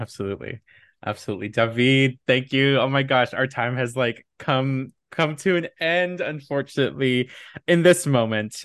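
The speaker talks at a moderate pace with ordinary pitch variation and a Californian accent. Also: man, medium pitch for a man. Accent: Californian American English. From Southern California, Inland Empire. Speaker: podcast host and creative producer. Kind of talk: casual interview chat.

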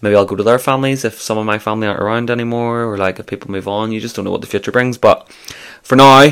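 Very fast talk from a man with a Scottish accent and fairly even intonation. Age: 20s. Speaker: podcast host. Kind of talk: casual solo monologue. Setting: office.

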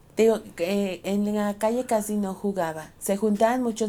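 Her voice is dark and mellow in tone, medium in pitch for a woman, and she talks at a fairly slow pace. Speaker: podcast co-host. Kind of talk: casual chat.

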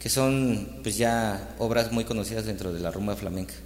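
Through audible room echo and noticeable background noise, a man talks at a fairly low pitch and a fairly slow pace. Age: young. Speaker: musician. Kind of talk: casual chat.

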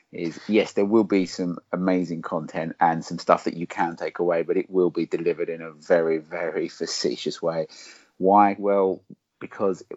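A man with an Essex accent. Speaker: podcast co-host. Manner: facetious, jokey.

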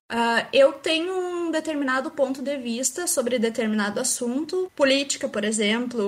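A woman speaks at a high pitch. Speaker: AI researcher, PhD student. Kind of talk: casual chat.

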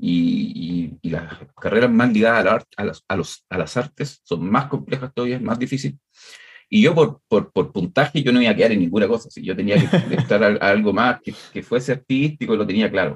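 Using lively intonation and a medium pitch, a man talks at a moderate pace with a Chilean accent. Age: 40s. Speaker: music producer. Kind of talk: interview.

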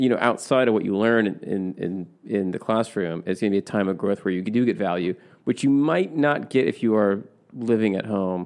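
Over a quiet background, a man with a normal speaking voice talks at a fairly quick pace, with a fairly low pitch and ordinary pitch variation. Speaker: podcast co-host. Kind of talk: casual chat.

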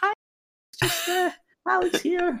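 The put-on character voice is squeaky and extremely high in pitch.

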